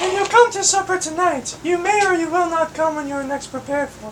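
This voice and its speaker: A woman does a squeaky put-on character voice at an extremely high pitch, with ordinary pitch variation and a fairly quick pace, over clear background noise. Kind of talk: Shakespearean verse reading. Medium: stage play. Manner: scolding, indignant.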